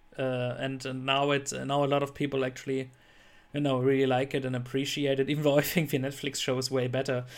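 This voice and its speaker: The recording is very clean, with a silent background. A man talks at a very fast pace in a monotone, flat intonation. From Germany. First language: German. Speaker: podcast host. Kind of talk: casual chat.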